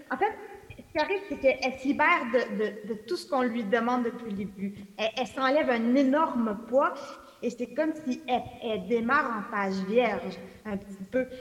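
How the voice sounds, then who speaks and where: Noticeable background noise sits behind a woman speaking at a moderate pace. Her high pitch carries lively intonation and big swings in loudness. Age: 40s. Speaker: novelist. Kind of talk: public book talk.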